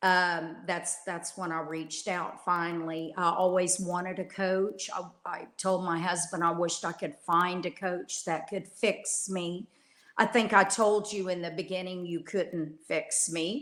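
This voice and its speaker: In a Texan accent, a woman speaks at a fairly slow pace with a fairly low pitch and monotone, flat intonation. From Texas. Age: 60s. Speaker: coaching client. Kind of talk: interview. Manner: halting.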